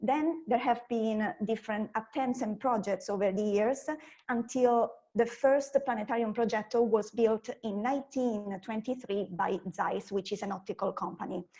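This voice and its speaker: Speaking in an Italian accent, a woman with a fairly high pitch and a dark, mellow tone keeps a moderate pace with ordinary pitch variation. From Italy. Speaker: science communicator. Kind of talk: conference talk.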